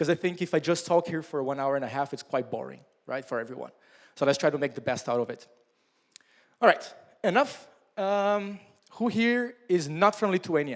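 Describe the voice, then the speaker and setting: A man with a Portuguese accent speaks in a high pitch with lively intonation. His pace is moderate, broken by long, frequent pauses. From southern Brazil, Curitiba. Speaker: startup founder and mentor. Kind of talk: workshop talk. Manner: casual, with many fillers.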